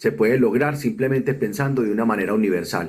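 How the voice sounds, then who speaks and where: A man delivers his words at a fairly quick pace. His pitch sits in the medium range. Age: 50s. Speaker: accessibility consultant, wheelchair user. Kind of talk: recorded video testimony.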